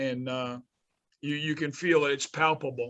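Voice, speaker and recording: Someone with a New York accent speaks at a moderate pace with fairly even intonation. The background is quiet. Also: man. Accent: New York metro. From New Jersey, North Bergen. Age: 60s. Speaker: college basketball coach. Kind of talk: interview.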